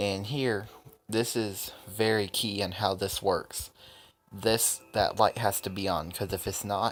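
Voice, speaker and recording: Over music in the background, a man with a fairly low pitch speaks at a very slow pace with fairly even intonation. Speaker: gaming youtuber. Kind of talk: tutorial. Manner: hesitant, many fillers.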